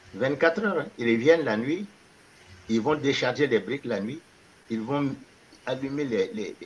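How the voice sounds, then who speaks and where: A man with a fairly high pitch speaks at a fairly slow pace with lively intonation, leaving long, frequent pauses. Noticeable background noise sits behind him. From Mali. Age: 70s. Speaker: retired baker and diaspora entrepreneur. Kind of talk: interview conversation.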